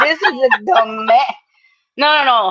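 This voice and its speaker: Raising and projecting her voice, a woman speaks in a bright, sharp tone with very wide pitch swings. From Tampa, Florida, Cuban-American. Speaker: musician and podcast co-host. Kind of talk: casual chat.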